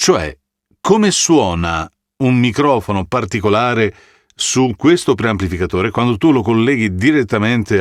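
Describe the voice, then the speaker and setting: Lively intonation marks this man's speech. The recording is very clean, and the background is silent. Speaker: voice actor. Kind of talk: casual talk to camera. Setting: studio.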